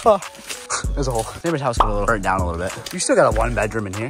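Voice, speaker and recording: Over clear music in the background, a man talks at a very fast pace in a dry sound with no echo. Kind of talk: casual vlog chat. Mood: joking, playful banter. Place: empty room. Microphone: phone near.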